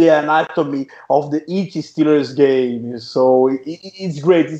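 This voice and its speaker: With a Portuguese accent, a man talks at a fairly high pitch with ordinary pitch variation. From Brazil. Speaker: podcast host. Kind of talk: podcast interview. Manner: halting.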